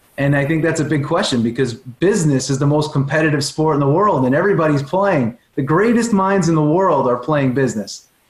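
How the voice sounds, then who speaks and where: This man has a strong Long Island accent and a fairly high, somewhat breathy voice. He talks at a fairly quick pace with hardly any pauses, very even loudness and ordinary pitch variation. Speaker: performance coach and speaker. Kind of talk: podcast interview.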